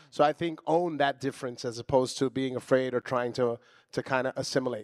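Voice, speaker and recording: This man has a normal speaking voice, an American accent and a medium pitch, talking at a fairly quick pace. The sound is dry and close with no echo, on a very clean recording with a silent background. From Trenton, New Jersey. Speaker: TV director. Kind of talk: panel discussion. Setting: stage with audience.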